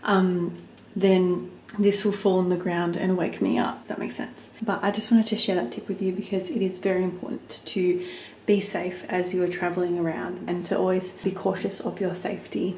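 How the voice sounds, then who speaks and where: Fairly even intonation marks this woman's speech, heard with light background noise and audible room echo. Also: moderate pace. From Australia. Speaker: flight attendant. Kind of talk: casual vlog talk to camera. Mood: cheerful, relaxed. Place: home room. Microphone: phone near.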